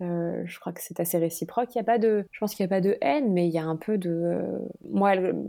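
A woman talks at a very fast pace, her pitch fairly low and varying in an ordinary way. Her tone is dark and mellow, and her loudness swings a lot. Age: 30s. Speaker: author and screenwriter, stepmother. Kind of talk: casual interview chat. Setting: podcast interview. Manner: hesitant with fillers.

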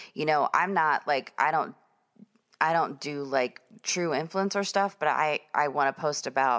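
A woman with a very deep, low pitch speaks in an animated tone at a moderate pace on a very clean recording with a silent background. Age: 50s. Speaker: podcast host and business owner. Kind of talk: casual monologue.

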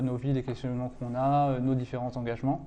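A man's voice, medium in pitch, with a dark, mellow tone. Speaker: seminar moderator. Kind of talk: seminar moderation. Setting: room with audience. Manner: halting.

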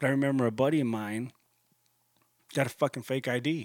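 A man with a medium pitch speaks at a fairly quick pace with ordinary pitch variation. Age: 30s. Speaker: podcast host. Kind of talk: casual monologue.

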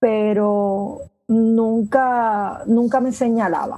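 A dark, mellow female voice, pitched fairly high. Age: 60s. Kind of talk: interview.

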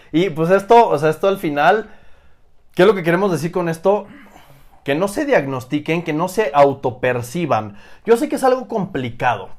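A man with a Mexican accent speaks at a moderate pace in a high pitch, with very wide pitch swings and an animated tone. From Oaxaca, Mexico. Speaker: fitness coach. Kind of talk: casual chat.

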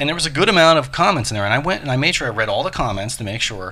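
With lively intonation, a man speaks at medium pitch in a bright, sharp tone. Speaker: podcast host and yoga teacher. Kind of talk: casual chat.

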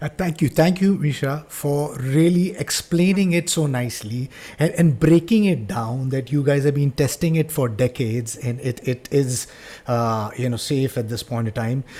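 At a moderate pace, a man speaks in a fairly high pitch with a dark, mellow tone, somewhat breathy, with ordinary pitch variation. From India. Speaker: podcast host. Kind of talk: interview. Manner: halting, repeats words.

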